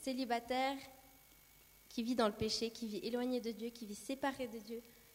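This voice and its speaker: The woman's voice sits high in pitch, with ordinary variation. She keeps a moderate pace. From Brazil. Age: 20s. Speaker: church youth leader and nursing student. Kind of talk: sermon with personal testimony.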